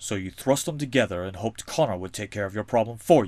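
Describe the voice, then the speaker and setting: A man's put-on character voice, fairly low in pitch, very fast, with lively intonation and big swings in loudness, on a very clean recording with a silent background. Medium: machinima. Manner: blunt, accusing.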